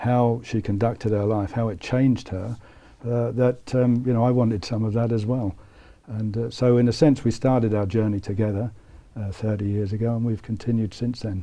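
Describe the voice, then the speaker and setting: A man in a British accent, medium in pitch, at a moderate pace with fairly even intonation. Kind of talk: interview. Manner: halting, many fillers.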